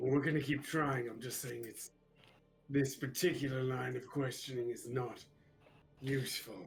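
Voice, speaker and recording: A man puts on a raspy character voice at medium pitch, talking at a moderate pace with fairly even intonation, long, frequent pauses and big swings in loudness. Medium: actual play. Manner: terse, dry.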